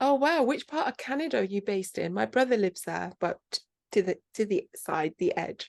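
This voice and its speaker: Here a woman with a medium pitch talks at a fairly quick pace, her pitch swinging very widely. Vocal fry is present, and the sound is dry and close with no echo. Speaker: podcast host. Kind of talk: interview.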